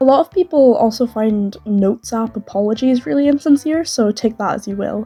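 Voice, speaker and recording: With music in the background, a voice talks at a moderate pace with ordinary pitch variation. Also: woman. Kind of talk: video essay commentary.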